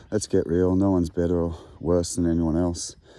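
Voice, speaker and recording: A man with an Australian accent talks at a fairly quick pace with a very deep, low pitch. His tone is dark, mellow and relaxed. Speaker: poet and musician, outdoor adventurer. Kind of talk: casual monologue. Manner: relaxed, hesitant with fillers and repetitions.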